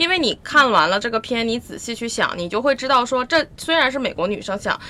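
With a fairly high pitch and noticeable vocal fry, a woman talks at a fairly quick pace. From Northeast China. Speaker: podcast guest. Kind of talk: casual chat.

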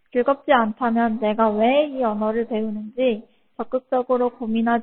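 A woman at a moderate pace, an unremarkable speaking voice. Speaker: Korean language tutor. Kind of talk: self-introduction video.

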